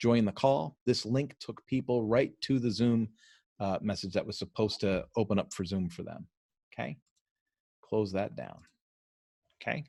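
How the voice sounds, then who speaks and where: The man's pitch is fairly low and varies in an ordinary way on a very clean recording with a silent background. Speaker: coach and trainer. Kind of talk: tutorial. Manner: fast.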